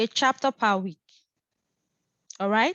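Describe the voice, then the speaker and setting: Her pitch varies in an ordinary way. The woman keeps a moderate pace. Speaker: physics instructor. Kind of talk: online lecture. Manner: hesitant, with fillers.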